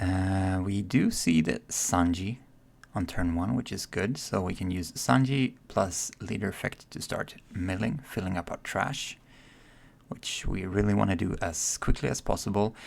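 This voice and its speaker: A soft-spoken man talks at a fairly slow pace. His pitch is very deep and low, with ordinary pitch variation. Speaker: card game content creator. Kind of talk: gameplay commentary. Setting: at home.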